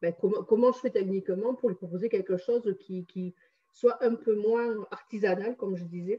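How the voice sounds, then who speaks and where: Medium-pitched woman's voice at a moderate pace with ordinary pitch variation. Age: 60s. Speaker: numerologist and energy healer. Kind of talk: testimony interview. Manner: hesitant, many fillers.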